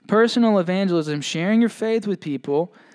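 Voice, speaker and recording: A man talks fairly quickly, his pitch varying in an ordinary way, captured in a very clean recording against a silent background. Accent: Southern US. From Mississippi. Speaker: pastor. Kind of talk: sermon. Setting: church.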